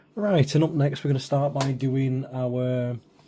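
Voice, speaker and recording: A man with a medium pitch and a dark, mellow tone talks very slowly, sounding somewhat breathy. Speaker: miniature painting youtuber. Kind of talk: tutorial. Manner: whispering; casual, hesitant.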